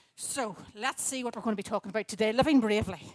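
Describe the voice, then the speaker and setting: A woman with a Northern Irish accent. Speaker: children's talk speaker at church. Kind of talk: children's talk in church service. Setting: church gathering with audience. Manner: loud; animated.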